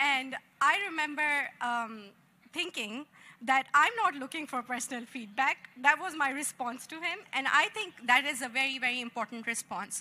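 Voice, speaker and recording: Against noticeable background noise, a woman uses a high, raised, projected voice with lively intonation at a moderate pace. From Pakistan. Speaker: tech panelist. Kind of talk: panel discussion. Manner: animated.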